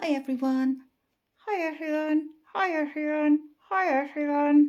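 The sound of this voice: In a put-on character voice, the speaker goes at a fairly slow pace with a high pitch.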